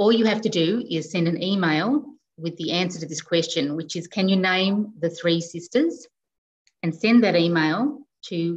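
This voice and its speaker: A woman in an Australian accent, fairly low-pitched, at a fairly slow pace with ordinary pitch variation. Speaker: librarian host. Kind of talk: online event moderation. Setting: video call. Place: home room. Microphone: video call.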